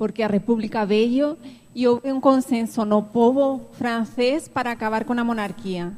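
With a Spanish accent, a woman talks in a fairly high pitch and fairly even intonation. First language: Spanish (speaking Portuguese). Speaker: audience member. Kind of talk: audience comment.

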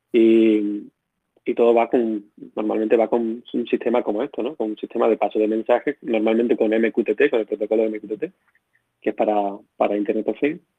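A man speaks in an Extremaduran accent at a fairly quick pace. His intonation stays fairly even. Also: medium pitch for a man. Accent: Badajoz accent, returned after moving back. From Extremadura, Spain (Badajoz). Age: 30s. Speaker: software engineer, open-source project founder. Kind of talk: interview. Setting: live voice chat.

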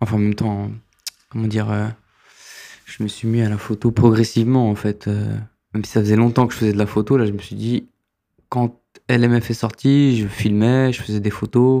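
Against a quiet background, a man with a dark, mellow tone speaks in a monotone, flat intonation, leaving long, frequent pauses. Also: medium pitch for a man, moderate pace. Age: 30s. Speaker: filmmaker and photographer. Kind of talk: interview. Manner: halting.

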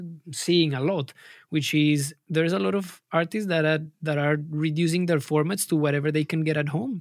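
Here is a man with a Spanish accent. His pitch is fairly high. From Colombia. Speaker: music producer and label manager. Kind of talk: interview. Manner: halting.

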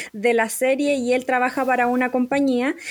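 A woman speaks with a high pitch. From Chile. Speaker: podcast host. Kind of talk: casual chat.

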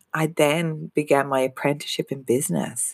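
A woman with an Irish accent is heard in a dry, close sound with no echo. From Ireland. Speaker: business coach. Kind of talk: podcast monologue. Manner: halting.

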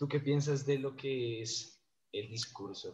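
Somewhat breathy, a man speaks very slowly at a medium pitch. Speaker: podcast host, gastronomy graduate. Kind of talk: casual interview.

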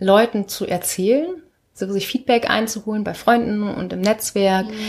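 In a normal speaking voice, a woman talks at a fairly slow pace with a fairly high pitch and fairly even intonation. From northern Germany, Lüneburger Heide. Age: 20s. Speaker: company founder. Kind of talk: interview.

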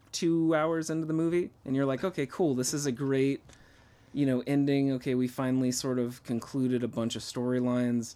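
A man with a dark, mellow tone, fairly even intonation, very even loudness and a fairly quick pace. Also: medium pitch for a man. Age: 30s. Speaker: podcast co-host. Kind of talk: casual chat.

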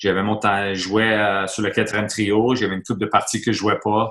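A man with a Quebec accent speaks fairly quickly in a fairly low, bright, sharp voice with monotone, flat intonation. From Quebec, Montreal. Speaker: retired hockey player, youth coach. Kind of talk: interview. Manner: halting.

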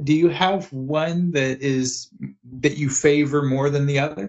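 A man with a plain, everyday voice. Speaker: podcast host. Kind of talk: casual interview chat.

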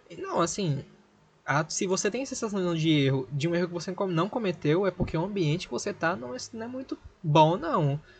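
Noticeable background noise sits behind a man who speaks at a moderate pace and a high pitch. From Brazil, Recife. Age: 20s. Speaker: podcast host. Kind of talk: casual podcast monologue. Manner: animated.

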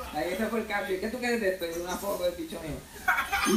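With audible room echo and noticeable background noise, a man speaks in a Puerto Rican accent at a high pitch, a moderate pace and ordinary pitch variation. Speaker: comedian. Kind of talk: stand-up.

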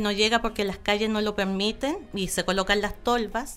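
This woman has a normal speaking voice with a fairly high pitch. Her intonation stays fairly even. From Chile, Aysén region (Coyhaique). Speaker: local council candidate and environmental activist. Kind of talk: interview.

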